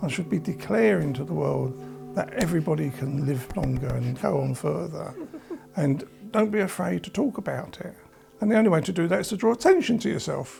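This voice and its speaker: A man with an English accent talks at a fairly quick pace over music in the background. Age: 70s. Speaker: cancer patient. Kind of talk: documentary interview.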